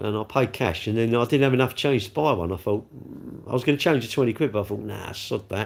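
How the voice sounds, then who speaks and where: A man rattles along at a very fast pace with hardly any pauses and ordinary pitch variation. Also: medium pitch for a man. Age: 60s. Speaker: live streamer. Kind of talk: casual chat. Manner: rambling, conversational.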